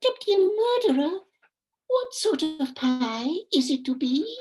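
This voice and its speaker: A man puts on a squeaky character voice at an extremely high pitch. His pitch swings very widely as he talks at a fairly slow pace. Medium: stage play. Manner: wide-eyed, questioning.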